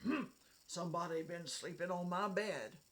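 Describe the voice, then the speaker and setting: This is a put-on character voice at a middle pitch. It is gruff and raspy, delivered at a moderate pace. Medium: read story. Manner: slow, grumbling.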